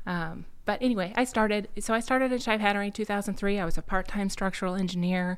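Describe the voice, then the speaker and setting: Speaking at a very fast pace, a woman uses a medium-pitched voice. She has a Midwestern US accent. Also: fairly even intonation, hardly any pauses. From Iowa, Quad Cities. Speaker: engineering firm executive. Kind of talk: interview.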